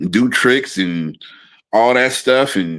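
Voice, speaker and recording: A man's intonation is lively even though he talks at a very slow pace. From Oakland and Fremont, California, US. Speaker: podcast co-host. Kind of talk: casual conversation.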